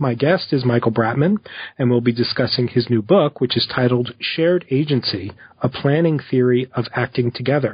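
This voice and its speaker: This man talks at a moderate pace in a medium pitch with an American accent, a somewhat breathy voice, and ordinary pitch variation. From US, New Jersey. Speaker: podcast host, philosophy professor. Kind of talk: interview. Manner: hesitant, with fillers.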